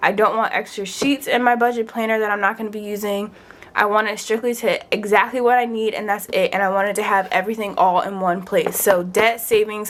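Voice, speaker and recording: A woman talks at a fairly quick pace. Her pitch sits fairly high. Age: 20s. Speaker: finance vlogger and registered nurse. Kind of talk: casual vlog chat. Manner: animated.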